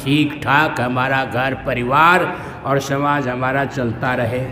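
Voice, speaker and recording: A man speaks in a monotone, flat intonation. Audible room echo and noticeable background noise surround him. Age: 70s. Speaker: religious teacher. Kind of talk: sermon.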